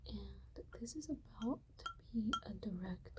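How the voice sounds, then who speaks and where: Someone whispers softly, speaking at a very slow pace. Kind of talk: ASMR ramble about flowers and plant biology. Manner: soft-spoken to whispering, slow and relaxing.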